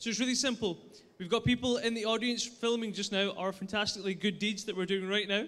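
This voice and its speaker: A man with a high pitch and a bright, sharp tone talks at a fairly quick pace with fairly even intonation. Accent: Scottish. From Scotland. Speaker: startup pitch presenter. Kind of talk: pitch presentation.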